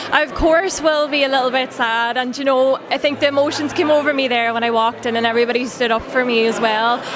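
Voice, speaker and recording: A woman talks at a very fast pace with hardly any pauses and a high pitch, over noticeable background noise and audible room echo. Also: fairly even intonation. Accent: Donegal. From Ireland (Donegal). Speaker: outgoing pageant titleholder. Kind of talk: interview.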